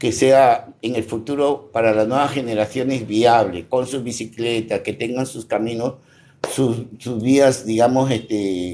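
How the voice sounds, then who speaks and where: A man speaks at a fairly slow pace in a dark, mellow tone, his medium pitch held to a fairly even intonation. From Peru, Piura. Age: 60s. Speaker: local activist and barber. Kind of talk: interview. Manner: repetitive, halting.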